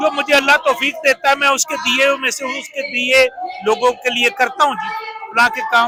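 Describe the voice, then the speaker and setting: Over crowd noise in the background, a man uses a raised, projected voice at an extremely high pitch. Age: old. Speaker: political rally supporter who bought a politician's glasses at auction. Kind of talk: interview answer.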